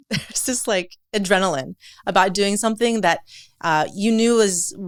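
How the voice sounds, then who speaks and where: A woman with a Californian accent, medium-pitched, at a moderate pace with ordinary pitch variation, on a very clean recording against a silent background. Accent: Californian American English. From California, after early childhood in Lebanon. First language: Arabic and French. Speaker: entrepreneur and floral designer. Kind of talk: podcast interview.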